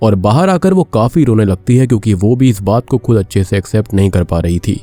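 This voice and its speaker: Recorded with a dry, close sound and no echo, a man with a fairly low pitch and a dark, mellow tone speaks at a moderate pace with lively intonation and very even loudness. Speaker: movie explainer YouTuber. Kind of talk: film plot narration.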